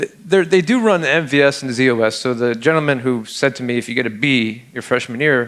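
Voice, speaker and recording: A man's medium-pitched voice with a New York accent and ordinary pitch variation. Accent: New York American. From Upstate New York. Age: 40s. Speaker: security researcher speaker. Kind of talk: conference talk. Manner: casual, halting with repetitions.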